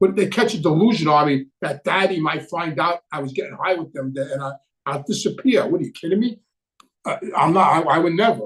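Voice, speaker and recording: High-pitched male speech in a New York accent at a fairly quick pace. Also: ordinary pitch variation. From New York City. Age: 70s. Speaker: former mobster turned addiction counselor and channel host. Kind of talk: live Q&A chat. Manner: halting, many fillers.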